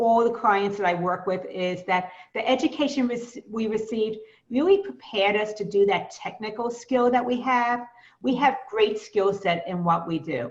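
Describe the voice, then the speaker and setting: The speaker has a Brooklyn accent. The pace is moderate and the pitch variation is ordinary. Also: woman, fairly high pitch for a woman. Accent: Brooklyn New York. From US Northeast, Brooklyn, New York. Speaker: business coach. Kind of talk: webinar presentation.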